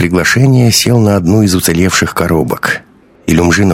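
The voice reads naturally. Pitch shifts are ordinary.

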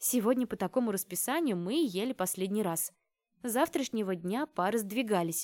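An unforced reading voice carries the clip. Behind it, the background is quiet.

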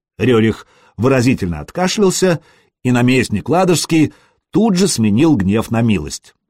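Against a quiet background, the text is read aloud in a natural voice.

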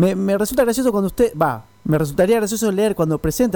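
Fast and lively in intonation, a man talks with a dark, mellow tone.

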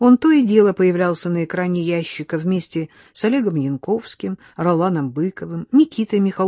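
The intonation shows ordinary pitch variation. It is a natural reading voice.

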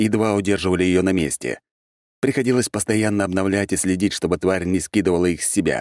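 Someone gives a plain reading aloud with fairly even intonation against a quiet background.

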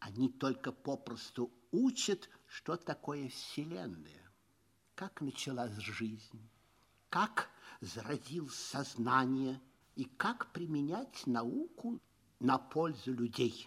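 A man does a put-on character voice at a medium pitch with big pitch swings. He goes at a slow pace, his fairly bright tone carrying a slightly husky edge.

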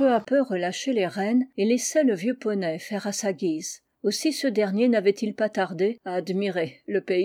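In a quiet background, the speech is plain reading aloud, its pitch varying in an ordinary way.

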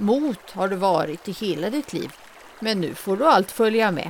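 Noticeable background noise fills the recording. Through it, a woman talks fairly slowly. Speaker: fairy tale narrator. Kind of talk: fairy tale storytelling.

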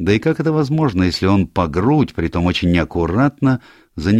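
The speaker uses an unforced reading voice.

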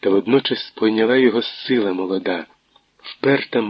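A quiet background, ordinary pitch variation, and someone reading aloud in a natural voice.

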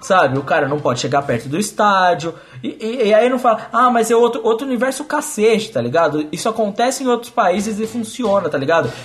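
A man's high voice at a fairly quick pace with lively intonation. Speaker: football podcast host. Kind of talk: casual chat.

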